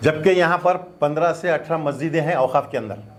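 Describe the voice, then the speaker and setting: A man's fairly high voice with ordinary pitch variation, in a room with audible echo. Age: 70s. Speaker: doctor and former mosque committee president. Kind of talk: press conference statement. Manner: halting, repetitive.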